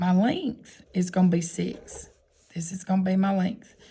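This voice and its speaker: A woman with a fairly low, dark, mellow voice that is somewhat breathy speaks at a fairly slow pace. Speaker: math teacher. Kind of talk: tutorial.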